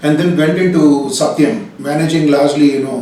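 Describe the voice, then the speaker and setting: A man with a Telugu accent, audible room echo, and noticeable background noise. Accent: Indian English (Telugu region). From India, Hyderabad. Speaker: business consultant, company director. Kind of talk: interview. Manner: hesitant, frequent fillers.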